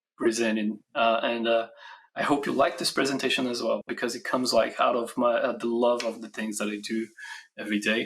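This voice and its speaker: A man with a Brazilian accent speaks at a fairly quick pace and a medium pitch. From Brazil, Rio de Janeiro. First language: Portuguese. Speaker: software standards engineer, conference speaker. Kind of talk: conference talk. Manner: hesitant, many fillers.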